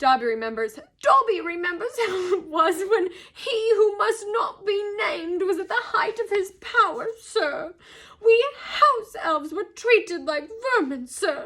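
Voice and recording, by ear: Delivered in a put-on character voice, the speech has lively intonation, a fairly bright tone, and a fairly slow pace. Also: woman, extremely high pitch for a woman.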